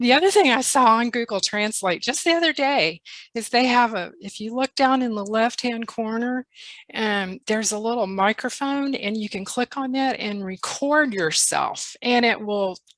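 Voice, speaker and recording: The speaker talks at a moderate pace with a Texas accent and ordinary pitch variation. The background is quiet. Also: woman, fairly high pitch for a woman. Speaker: volunteer literacy tutor. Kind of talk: group discussion.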